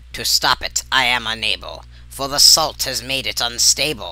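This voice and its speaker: A man growls in a put-on character voice at a moderate pace. Light background noise sits behind him. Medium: read story. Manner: speaks in rhyming couplets.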